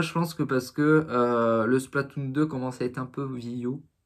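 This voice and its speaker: The very clean recording, with a silent background, captures a man at medium pitch speaking at a fairly slow pace with fairly even intonation. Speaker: gaming youtuber. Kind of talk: casual video commentary. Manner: halting, many fillers.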